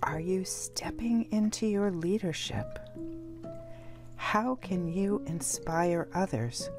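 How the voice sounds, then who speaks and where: Very slow, gentle-toned speech from a woman, fairly low in pitch, at a very even loudness, with music in the background. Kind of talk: ASMR-style guided meditation with affirmations. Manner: quiet, gentle, slow, encouraging.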